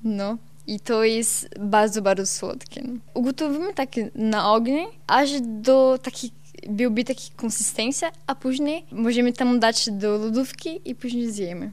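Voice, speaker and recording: In a Brazilian accent, a woman speaks fairly slowly at a fairly high pitch with ordinary pitch variation. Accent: Brazilian Portuguese-accented Polish. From southern Brazil, Santa Catarina. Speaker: Brazilian immigrant in Poland. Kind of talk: radio interview. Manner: halting.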